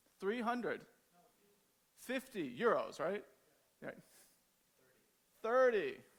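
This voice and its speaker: With an American accent, a man talks at a very slow pace, leaving long, frequent pauses. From United States. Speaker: agile trainer and conference speaker. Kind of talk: conference talk.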